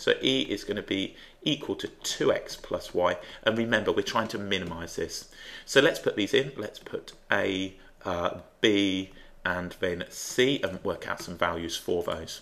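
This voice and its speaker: This man talks fairly slowly. He has an English accent. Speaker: maths teacher. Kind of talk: tutorial. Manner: thinking out loud, hesitant.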